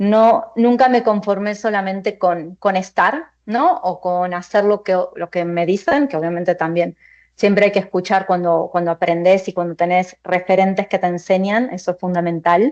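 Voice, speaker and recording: With an Argentine accent, a woman talks at a moderate pace and medium pitch, her intonation fairly even and hardly any pauses between words. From Argentina. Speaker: finance executive. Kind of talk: panel discussion.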